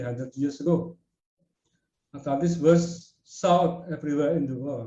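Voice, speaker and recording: This man has a fairly high pitch and a dark, mellow tone that is somewhat breathy. He speaks at a fairly slow pace with ordinary pitch variation. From Indonesia. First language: Indonesian. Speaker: researcher presenting at a webinar. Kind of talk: lecture. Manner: halting.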